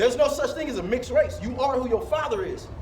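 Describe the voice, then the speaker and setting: A man races along at a very fast pace with lively intonation, with noticeable background noise and audible room echo both present. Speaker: street preacher. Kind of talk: street preaching. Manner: loud, yelling.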